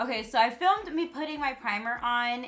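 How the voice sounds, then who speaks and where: A woman's voice with a bright, sharp tone. Her pitch swings very widely at a moderate pace. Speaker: beauty vlogger. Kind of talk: tutorial. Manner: loud.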